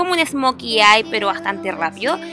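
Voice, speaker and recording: A woman speaks over clear music in the background. The sound is dry, with no echo. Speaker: beauty vlogger. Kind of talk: makeup tutorial. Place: home room.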